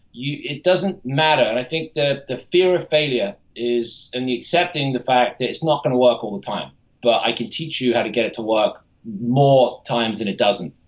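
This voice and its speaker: At medium pitch and a moderate pace, this is a man in an ordinary speaking voice. His intonation is lively. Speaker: TV pitchman / infomercial spokesman. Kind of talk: podcast interview answer.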